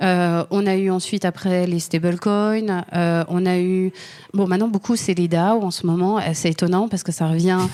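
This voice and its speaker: A woman with a slight Swiss French accent speaks at a moderate pace in a medium pitch with a dark, mellow tone and monotone, flat intonation, on a very clean recording with a silent background. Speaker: lawyer. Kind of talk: interview. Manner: halting, many fillers.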